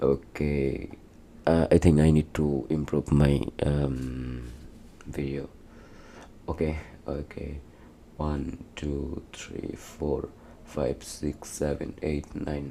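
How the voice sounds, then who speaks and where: In a non-native accent, a man speaks with a very deep, low pitch and monotone, flat intonation at a very slow pace with long, frequent pauses, over noticeable background noise. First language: not English. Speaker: vlogger. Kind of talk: casual vlog talk. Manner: halting.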